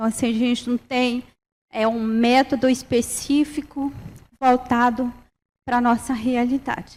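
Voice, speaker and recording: A woman with a high voice speaks at a fairly slow pace in a monotone, flat intonation. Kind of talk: panel presentation. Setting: university round table with audience. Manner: halting, many fillers.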